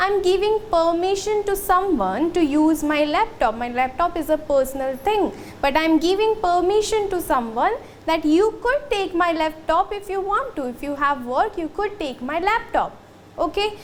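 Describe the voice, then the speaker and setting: Over noticeable background noise, a woman talks at a moderate pace in an extremely high pitch with lively intonation. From India. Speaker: school teacher. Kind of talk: lecture.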